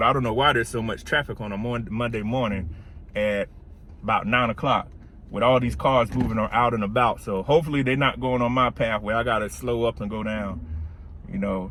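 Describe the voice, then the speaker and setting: Speaking with a South Carolina accent, a man uses a medium pitch. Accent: South Carolina country. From US South, South Carolina. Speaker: career and automation consultant. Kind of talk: casual vlog while driving. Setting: in a car, driving. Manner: casual, conversational.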